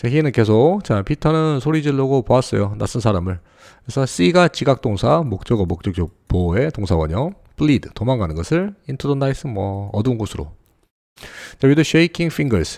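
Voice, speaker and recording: Over a quiet background, a man speaks at medium pitch with very wide pitch swings. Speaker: English tutor. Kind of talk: lecture. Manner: fast.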